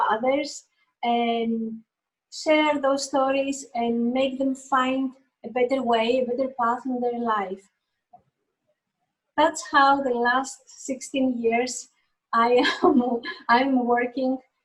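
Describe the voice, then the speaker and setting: A high-pitched woman with a Greek accent, very slow, with long, frequent pauses and fairly even intonation. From Greece. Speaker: painter. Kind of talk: interview. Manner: halting.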